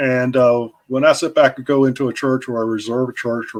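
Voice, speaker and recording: A man with a medium pitch speaks at a moderate pace in a plain, everyday voice. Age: 60s. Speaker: podcast host, men's ministry consultant. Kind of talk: interview.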